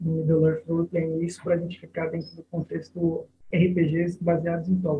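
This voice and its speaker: A man speaks at a high pitch and a moderate pace. His intonation is monotone and flat, with big swings in loudness. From Brazil, São Paulo area (São Bernardo do Campo). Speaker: lawyer and Tolkien fan, RPG writer. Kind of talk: casual interview chat. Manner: halting, repeats words.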